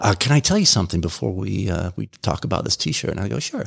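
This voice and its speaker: Very fast and with vocal fry, a man speaks. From England and West Germany. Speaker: nonprofit founder and CEO. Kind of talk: radio interview. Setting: studio.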